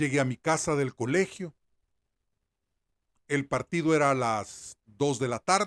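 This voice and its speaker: Over a very clean, silent background with a dry, close sound and no echo, a man with a fairly high voice and ordinary pitch variation speaks at a fairly slow pace with long, frequent pauses. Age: 60s. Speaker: sports journalist. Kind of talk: opinion commentary monologue.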